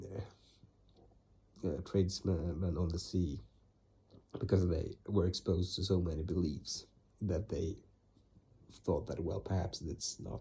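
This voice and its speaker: Over a silent background in a very clean recording, a man with a very deep, low pitch and a dark, mellow tone speaks at a very slow pace with vocal fry, ordinary pitch variation, and long, frequent pauses. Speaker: vlogger summarizing his reading. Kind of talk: casual monologue. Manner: halting, many fillers and restarts.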